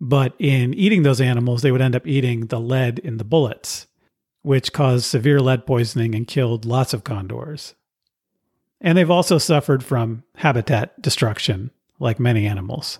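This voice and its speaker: The recording is very clean with a silent background and a dry, close sound with no echo. The speaker has an American accent, sounds somewhat breathy, and keeps a moderate pace with ordinary pitch variation. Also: man, medium pitch for a man. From California. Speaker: podcast host. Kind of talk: scripted narration.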